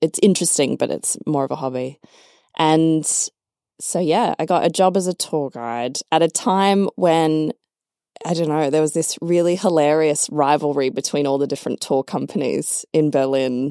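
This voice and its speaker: In a very clean recording with a silent background, the voice has a dark, mellow tone and ordinary pitch variation. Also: woman. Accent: Australian. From Australia. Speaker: nonprofit worker, former lawyer. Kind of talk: casual interview chat. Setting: studio.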